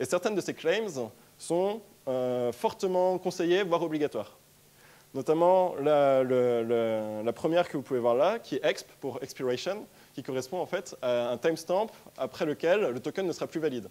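In a dark, mellow tone, the voice moves at a fairly slow pace with lively intonation. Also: man, fairly high pitch for a man. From France, Strasbourg (Alsace); France. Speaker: tech startup co-founder, conference speaker; conference speaker. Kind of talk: conference talk. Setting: stage with audience. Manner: hesitant, many filler sounds. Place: hall.

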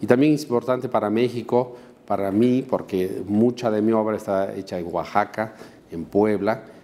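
With fairly even intonation, a man of fairly low pitch talks at a moderate pace. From Bolivia. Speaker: painter; interviewee. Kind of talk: interview. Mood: calm, reflective. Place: office. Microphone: lapel.

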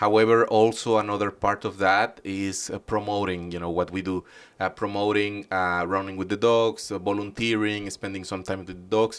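In a Spanish accent, the speaker talks at a moderate pace with a monotone, flat intonation, on a very clean recording with a silent background. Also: man, fairly low pitch for a man. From Mexico. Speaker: animal shelter volunteer. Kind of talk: interview. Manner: hesitant, many fillers.

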